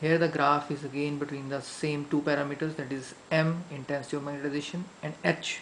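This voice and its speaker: Fairly quick speech with an Indian accent. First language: Hindi. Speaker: science teacher. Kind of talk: lecture. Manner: hesitant fillers.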